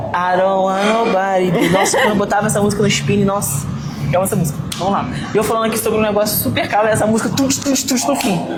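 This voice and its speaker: With music in the background and audible room echo, a woman talks at a very fast pace, her medium pitch showing ordinary variation and her loudness very even. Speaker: fitness and mindset influencer. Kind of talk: casual vlog talk to camera. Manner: varied intonation.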